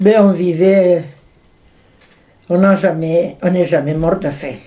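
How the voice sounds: Speaking slowly with fairly even intonation, a woman with a fairly low pitch and a dark, mellow tone is heard amid audible room echo.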